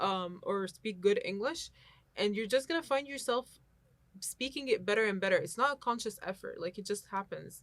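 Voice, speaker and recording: A woman speaks with an Arabic accent. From Egypt. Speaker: university student. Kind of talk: casual chat.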